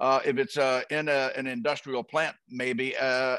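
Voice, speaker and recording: The voice is bright and sharp, moving at a fairly slow pace with ordinary pitch variation, recorded dry with no echo over a quiet background. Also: man. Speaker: guest. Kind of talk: interview answer. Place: home room. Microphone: headset.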